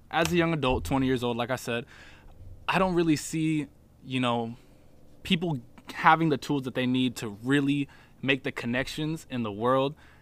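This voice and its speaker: The delivery moves at a moderate pace with ordinary pitch variation and long, frequent pauses. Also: man, medium pitch for a man. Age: 20s. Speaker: podcast host, college student. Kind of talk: solo podcast monologue. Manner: casual, laid-back.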